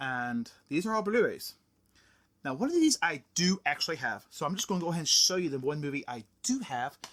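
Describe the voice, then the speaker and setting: Fairly high in pitch, a man speaks in an animated tone with very wide pitch swings. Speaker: YouTuber, movie collector. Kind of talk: casual haul video. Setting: indoors, home video room. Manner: fast.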